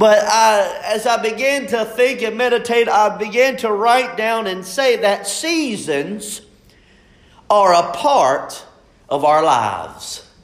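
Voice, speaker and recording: Against noticeable background noise, a man with a high-pitched voice talks at a very slow pace. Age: 30s. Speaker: pastor. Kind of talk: sermon.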